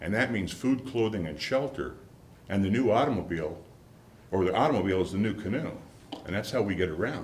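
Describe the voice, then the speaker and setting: Audible room echo surrounds a man with an Upper Midwest accent who speaks at a fairly quick pace and a fairly low pitch with lively intonation. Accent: Upper Midwest American. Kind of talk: public talk to an audience.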